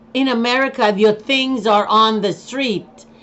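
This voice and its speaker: A woman speaks with a Jamaican accent. Her pitch varies in an ordinary way. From Jamaica, Kingston. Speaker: vlogger. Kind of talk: casual monologue. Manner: halting.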